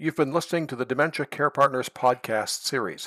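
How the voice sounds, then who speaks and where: A man talks at a fairly quick pace, his pitch fairly high, in an unremarkable speaking voice. The sound is dry and close, with no echo. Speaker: podcast host. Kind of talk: interview conversation.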